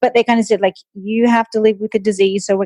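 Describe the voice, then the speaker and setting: A woman with an Australian accent uses fairly even intonation in a dry, close sound with no echo. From Australia, Sydney. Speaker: nutritionist and long-distance runner. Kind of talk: interview conversation. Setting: podcast interview.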